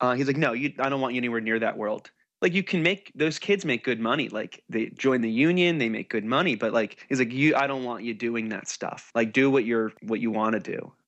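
With an American accent and an unremarkable speaking voice, a man talks at a fairly quick pace and medium pitch, with ordinary pitch variation and hardly any pauses. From New Jersey, US. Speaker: musician. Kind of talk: casual chat.

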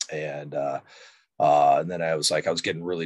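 A very deep, low-pitched man with an American accent at a fairly quick pace, on a very clean recording with a silent background. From Chicago area, Illinois. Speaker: former construction project manager turned fitness coach. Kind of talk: casual interview.

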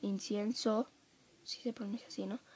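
With a Mexican accent, a woman speaks at a fairly slow pace in fairly even intonation. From Mexico. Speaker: podcast host. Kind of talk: casual solo monologue. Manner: chatty, filler-heavy.

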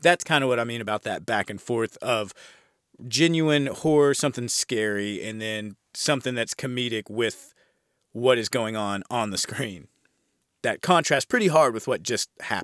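At a moderate pace, the speaker uses a plain, everyday voice with an American accent. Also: man, medium pitch for a man, ordinary pitch variation, dry, close sound with no echo, very clean recording, silent background. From United States. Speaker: podcast host, horror film reviewer. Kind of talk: casual podcast monologue, film review. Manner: casual, chatty, profane.

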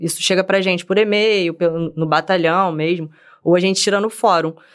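This woman speaks with a Rio de Janeiro accent. Her pace is fairly quick. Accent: Carioca Brazilian Portuguese. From Rio de Janeiro, West Zone (Senador Camará). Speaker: military police officer. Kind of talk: casual chat.

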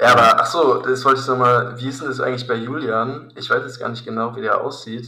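A man talks fairly quickly, and room echo can be heard. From Hesse, Germany (Königstein near Frankfurt). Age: 20s. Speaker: triathlete. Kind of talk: casual chat.

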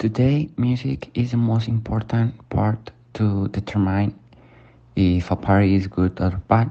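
In a Spanish accent, a man speaks at a fairly slow pace in a fairly low voice. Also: ordinary pitch variation, very even loudness. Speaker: student podcast host. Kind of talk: scripted student podcast and interview. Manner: halting with fillers.

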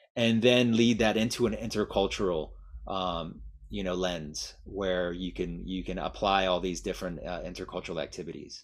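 The voice carries vocal fry. Its pitch varies an ordinary amount. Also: man, very deep, low pitch for a man. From Miami, US. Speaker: language teaching director and mindfulness teacher. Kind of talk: guided meditation; guest interview. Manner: slow, calm.

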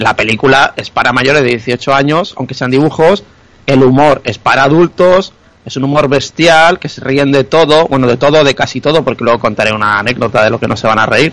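A normal speaking voice with ordinary pitch variation at a fairly quick pace. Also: man, medium pitch for a man. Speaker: podcast co-host. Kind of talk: casual chat. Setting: video call.

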